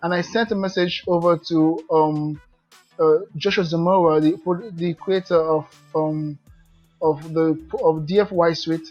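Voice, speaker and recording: A speaker with a non-native accent talks at a fairly slow pace in a monotone, flat intonation. Music is playing in the background. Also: man. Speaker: affiliate marketer. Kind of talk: casual talk to camera. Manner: hesitant, many fillers.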